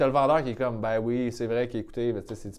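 A man's unremarkable speaking voice at a moderate pace and a medium pitch. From Quebec, South Shore of Montreal (Sainte-Julie). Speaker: comedian. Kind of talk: casual chat.

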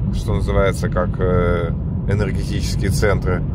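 There is loud background noise behind a man whose voice sounds dry with no echo. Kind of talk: casual vlog chat. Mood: reflective, self-deprecating. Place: car.

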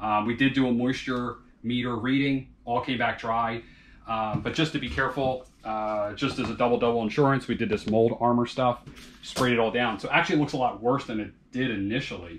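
The speaker talks at a fairly quick pace with ordinary pitch variation over light background noise. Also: man. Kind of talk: tutorial. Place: bathroom.

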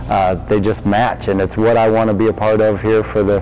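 Clear background music behind a man speaking at a moderate pace. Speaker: new head basketball coach. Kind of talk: interview answer. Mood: warm, earnest. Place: hall. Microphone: lapel.

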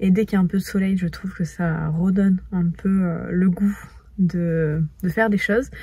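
A woman speaks in a dark, mellow tone that is somewhat breathy, with fairly even intonation. The sound is dry with no echo, and the background is quiet. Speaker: lifestyle vlogger. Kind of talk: casual vlog chat. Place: car. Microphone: phone near.

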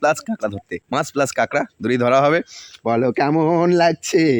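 A man speaks in a plain, everyday voice with fairly high pitch and lively intonation. The sound is dry and close, with no echo. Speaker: village vlogger. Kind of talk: vlog narration.

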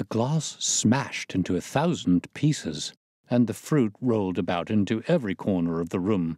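Quiet surroundings behind an unforced reading voice.

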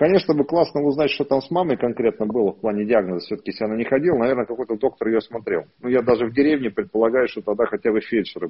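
Hardly pausing at all, a man speaks at a very fast pace with big swings in loudness and ordinary pitch variation against a quiet background. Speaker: psychosomatics therapist. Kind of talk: live online consultation. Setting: video call. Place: home room. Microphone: earbuds.

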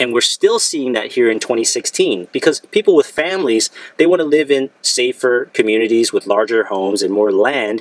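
A man speaks at a fairly quick pace in a dry sound with no echo. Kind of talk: casual vlog commentary. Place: car. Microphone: phone near.

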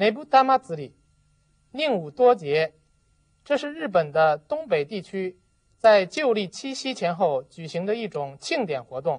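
Speaking at a very slow pace, a woman at medium pitch uses very wide pitch swings. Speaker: Japanese language teacher. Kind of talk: tutorial.

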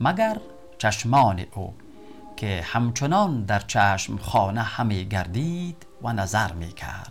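Over music in the background, a man speaks at a very slow pace in a fairly low voice, with lively intonation and big swings in loudness. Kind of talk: poetry reading.

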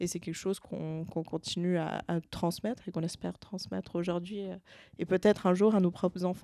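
A woman talks at a moderate pace in a fairly low, dark, mellow voice with monotone, flat intonation. The sound is dry, with no echo. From Switzerland. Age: 20s. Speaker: adventurer and family business member; interview guest. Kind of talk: interview. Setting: event venue. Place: meeting room. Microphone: handheld.

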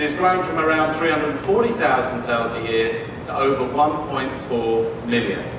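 Noticeable background noise and audible room echo surround a male speaker. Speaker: presenter. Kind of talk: keynote presentation speech. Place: stage. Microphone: pa.

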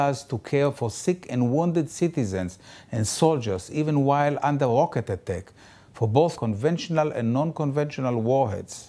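The man's tone is dark and mellow, and his delivery keeps a moderate pace. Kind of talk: appeal statement to camera. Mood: serious, urgent. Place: office. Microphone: lapel.

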